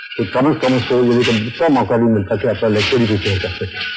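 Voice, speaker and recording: Behind the voice, music is playing. This man talks at a moderate pace. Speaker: resident. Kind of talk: interview.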